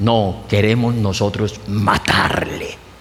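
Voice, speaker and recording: Noticeable background noise runs under the speech. The room echo is audible. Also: man. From Colombia (Pamplona). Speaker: pastor. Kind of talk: sermon.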